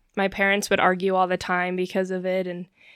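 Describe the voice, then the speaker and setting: A woman speaks with an American accent at a medium pitch. The recording is very clean, with a silent background. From Utah. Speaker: new mother. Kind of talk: casual interview.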